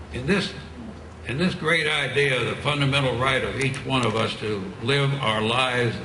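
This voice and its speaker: A man at a medium pitch and fairly slow pace, with noticeable background noise and audible room echo. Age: 90s. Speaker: war veteran. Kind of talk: rally speech. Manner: halting.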